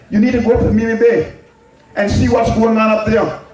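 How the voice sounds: A man speaks at a fairly quick pace in a high pitch with a slightly mellow tone. Strong room echo fills the recording.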